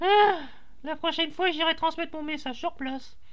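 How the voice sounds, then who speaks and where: In a put-on character voice, someone squeaks at an extremely high pitch and a moderate pace against noticeable background noise. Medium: machinima. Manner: wistful, distracted.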